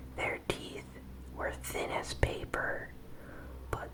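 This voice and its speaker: Whispering over noticeable background noise. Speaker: ASMR content creator. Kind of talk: ASMR horror story reading. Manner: whispered, soft-spoken.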